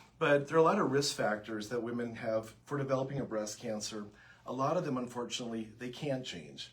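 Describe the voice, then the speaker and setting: A man with a Minnesotan accent speaks at a fairly quick pace. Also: medium pitch for a man, ordinary pitch variation. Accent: Minnesota. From US Upper Midwest, Minnesota. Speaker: breast surgeon. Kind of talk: health information livestream Q&A. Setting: Facebook Live broadcast.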